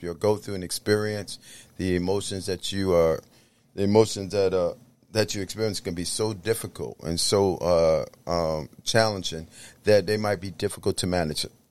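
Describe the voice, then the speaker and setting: On a very clean recording with a silent background, a man with an American accent and a normal speaking voice talks at a moderate pace and fairly low pitch with ordinary pitch variation. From New York City, the Bronx. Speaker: minister and clinical counselor. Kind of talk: podcast interview.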